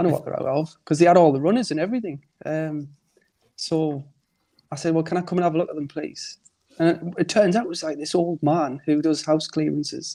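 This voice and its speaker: A man's dark, mellow voice, fairly high in pitch, at a fairly quick pace with ordinary pitch variation. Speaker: car enthusiast. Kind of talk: casual chat.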